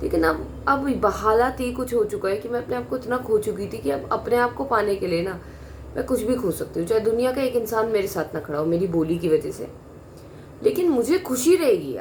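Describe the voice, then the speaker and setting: A woman talks at a fairly high pitch with very wide pitch swings. Her pace is moderate. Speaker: vlogger. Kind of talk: personal monologue. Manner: blunt, direct.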